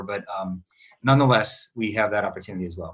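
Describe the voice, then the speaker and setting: A man with an Upper Midwest accent at a fairly quick pace. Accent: Upper Midwest American. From Wisconsin, Eau Claire. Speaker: chief resident physician. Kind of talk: panel presentation.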